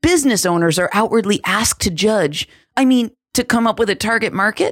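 At a moderate pace, a woman with an ordinary speaking voice, fairly high in pitch, speaks with lively intonation on a very clean recording with a silent background and a dry, close sound with no echo. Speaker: podcast host, entrepreneur coach. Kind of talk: scripted monologue.

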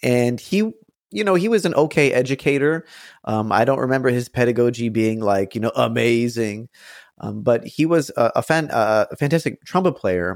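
A man with an American accent and an unremarkable speaking voice talks at medium pitch with lively intonation. The very clean recording has a silent background and a dry, close sound with no echo. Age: 30s. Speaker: musician and piano teacher. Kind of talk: interview.

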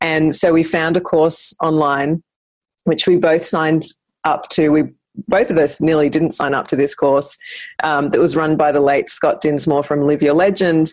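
In an Australian accent, a woman talks with a very deep, low pitch at a moderate pace. Her loudness stays very even, her intonation is fairly even, and the background is quiet. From Brisbane, Australia. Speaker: business co-founder, former PR professional. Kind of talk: casual interview chat.

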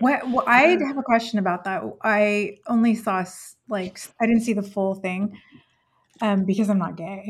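A woman speaks at a medium pitch and a moderate pace, somewhat breathy. Her pitch varies in an ordinary way while her loudness swings widely. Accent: American. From California. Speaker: homeschooling mom. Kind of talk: casual chat.

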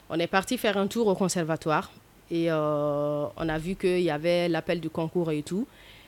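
A woman speaks at a fairly slow pace in a fairly low pitch. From Mali, rural village. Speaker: actress and storyteller. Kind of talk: casual interview.

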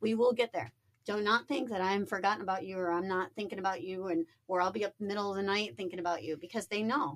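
Speaking at a very fast pace, a woman with an American accent holds a medium pitch with ordinary pitch variation. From Niagara Falls, New York. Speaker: small-scale real estate developer. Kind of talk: casual interview. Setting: studio. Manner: animated.

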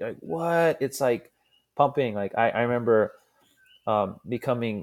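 A man with a Hawaiian accent, in a very clean recording with a silent background and a dry, close sound with no echo. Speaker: pro surfer and scientist. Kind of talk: casual chat.

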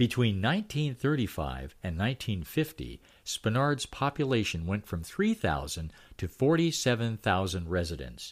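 Very wide pitch swings mark a man's warm, relaxed tone. He speaks at a very slow pace on a very clean recording with a silent background. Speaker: newsletter storyteller; local history storyteller. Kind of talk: history documentary narration, read-aloud newsletter. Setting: recorded audio reading. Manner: steady, warm storyteller pacing, relaxed and amused; animated, chuckling at anecdotes.

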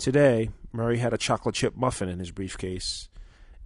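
A natural voice reading aloud, pitch moving in an ordinary way.

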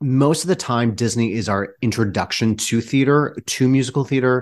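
A man with an American accent and an unremarkable speaking voice talks at a moderate pace with medium pitch. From Michigan. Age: 30s. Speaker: theater director. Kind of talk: casual chat.

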